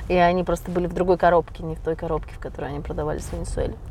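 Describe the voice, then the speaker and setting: A woman talks here. Her voice is medium in pitch. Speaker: psychologist and hypnotherapist. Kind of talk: live stream monologue. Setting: driving a car during a mobile live stream.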